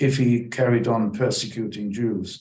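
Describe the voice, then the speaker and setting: Somewhat breathy and medium in pitch, a man speaks at a fairly slow pace with fairly even intonation. His tone is dark and mellow, and the room echo is audible. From Germany. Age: 90s. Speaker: Holocaust survivor. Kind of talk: testimony.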